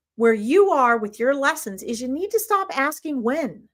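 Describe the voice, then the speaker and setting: Speaking at a moderate pace, a woman with an American accent uses a high pitch and very wide pitch swings. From United States. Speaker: spiritual reader and live stream host. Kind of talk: live stream reading and spiritual teaching. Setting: live stream.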